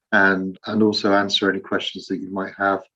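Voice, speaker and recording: With an English accent, the speaker keeps a moderate pace and a monotone, flat intonation. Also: man. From England, Leicester. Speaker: Rotary volunteer in Ukraine. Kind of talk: online meeting presentation.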